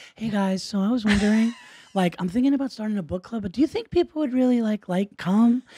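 A female-sounding, put-on character voice whispers at a very fast pace. The delivery is breathy. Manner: whispering, breathy, mock influencer.

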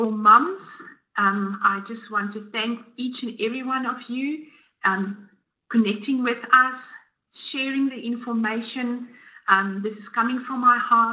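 A woman speaks with a South African accent in a bright, sharp tone. Her pitch is fairly high and her intonation fairly even, at a fairly slow pace. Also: big swings in loudness. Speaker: dietitian; guest. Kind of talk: webinar presentation. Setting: online webinar. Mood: warm, earnest. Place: home room.

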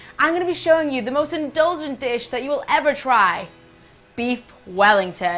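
Clear background music behind a woman's speech. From England. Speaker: food and travel presenter; TV host. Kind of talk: TV presenting. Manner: animated. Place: studio.

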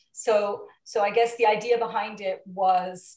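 Somewhat breathy and monotone, a woman's flat intonation comes through audible room echo against a quiet background. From Portugal. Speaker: film producer and attorney; attorney. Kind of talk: interview. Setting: video call. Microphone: video call.

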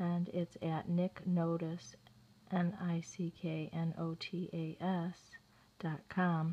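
A soft-spoken, somewhat breathy woman's voice, fairly low in pitch, with a dark, mellow tone and monotone, flat intonation. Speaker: video blogger. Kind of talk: reading aloud with commentary. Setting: at home.

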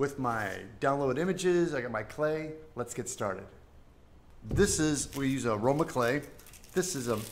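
Light background noise sits behind a man talking at a moderate pace with ordinary pitch variation. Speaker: sculptor streamer. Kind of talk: livestream tutorial. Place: home room.

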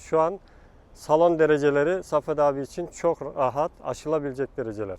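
An ordinary speaking voice from a man, fairly high in pitch with ordinary pitch variation, at a fairly quick pace, in a dry, close sound with no echo. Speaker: national athletics team coach. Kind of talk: interview answer.

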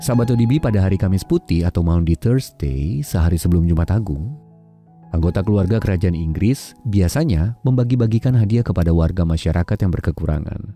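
A man talks at a fairly quick pace in a very deep, low voice. The sound is dry with no echo, and music plays in the background. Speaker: devotional narrator. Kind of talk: devotional reading.

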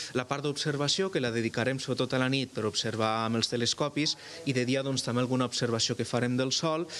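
At a very fast pace, a man talks with very even loudness and fairly even intonation over light background noise. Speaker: astronomy centre guide. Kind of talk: interview. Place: hall. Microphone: handheld.

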